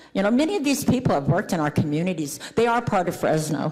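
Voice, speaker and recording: A female voice with noticeable noise behind it and some audible room echo. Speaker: homeless advocate. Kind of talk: public comment at council meeting. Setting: city council meeting.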